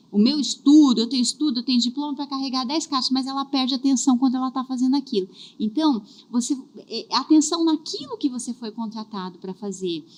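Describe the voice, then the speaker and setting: A woman speaks at a fairly quick pace and high pitch, with ordinary pitch variation. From southern Brazil. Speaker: career and HR specialist. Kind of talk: podcast interview.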